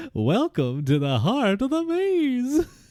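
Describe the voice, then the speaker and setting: Put-on character voice from a man at an extremely high pitch, at a very slow pace. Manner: strange, foolish.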